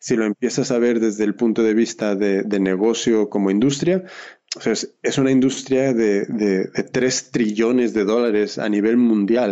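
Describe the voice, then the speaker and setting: A man's medium-pitched voice at a fairly slow pace, with very even loudness and ordinary pitch variation. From Oakland, California, Mexican parents. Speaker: fashion entrepreneur and sewing teacher. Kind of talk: interview.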